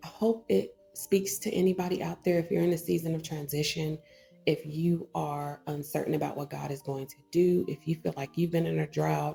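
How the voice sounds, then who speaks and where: Music plays in the background as the voice moves at a moderate pace with big swings in loudness. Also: woman. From Texas. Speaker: online ministry vlogger. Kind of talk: personal reflection vlog. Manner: casual, conversational with filler words.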